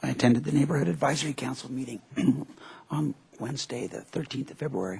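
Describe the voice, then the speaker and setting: Raspy and at a medium pitch, a man does a put-on character voice. He talks at a very fast pace. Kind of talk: formal public remarks.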